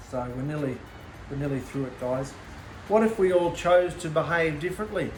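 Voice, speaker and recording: The speaker talks at a fairly quick pace with ordinary pitch variation, against noticeable background noise and audible room echo. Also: man. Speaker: bible teacher. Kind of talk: bible teaching. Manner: loud.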